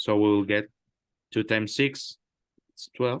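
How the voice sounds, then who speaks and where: A man with a Spanish accent speaks fairly slowly at a fairly low pitch, with fairly even intonation. The sound is dry and close with no echo against a quiet background. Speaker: math tutor. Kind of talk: tutoring session. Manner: halting, many fillers.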